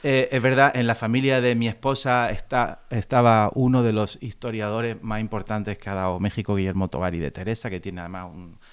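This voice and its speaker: Recorded very cleanly against a silent background, a man talks at a fairly quick pace and medium pitch, with ordinary pitch variation and big swings in loudness. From Andalusia, Spain. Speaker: classical guitarist. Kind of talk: interview conversation.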